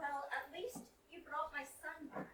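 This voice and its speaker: A high-pitched, put-on character voice speaks at a fairly slow pace, with a slight echo and clear background noise. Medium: stage play.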